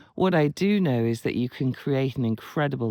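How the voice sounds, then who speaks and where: The recording is very clean, with a silent background. A man speaks in a dark, mellow tone. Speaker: writer and writing coach. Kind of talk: casual talk to camera. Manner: rambling.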